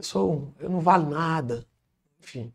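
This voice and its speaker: Here a man speaks with a fairly high pitch. His pitch varies in an ordinary way. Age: young. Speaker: businessman and engineer. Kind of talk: interview, personal testimony.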